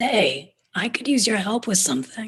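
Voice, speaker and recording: A put-on character voice with a female sound, fairly high pitch and a raspy texture moves at a moderate pace. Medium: stage play.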